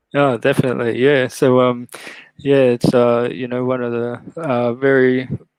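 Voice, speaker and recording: Monotone, flat intonation from a man with an Australian accent, medium in pitch, at a moderate pace. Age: 30s. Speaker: live stream host, toy collector. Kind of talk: casual chat. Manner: halting, many fillers.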